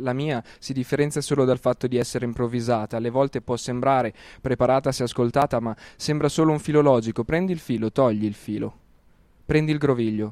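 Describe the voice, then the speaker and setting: A man with an unremarkable speaking voice talks at a medium pitch and fairly quick pace with fairly even intonation, recorded very cleanly against a silent background with a dry, close sound and no echo. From Lombardy, Italy. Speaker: rapper and slam poet. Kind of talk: spoken word poetry.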